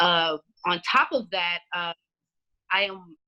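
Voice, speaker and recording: A woman speaks loudly. Her pitch sits fairly low. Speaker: community activist and librarian. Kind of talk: podcast interview.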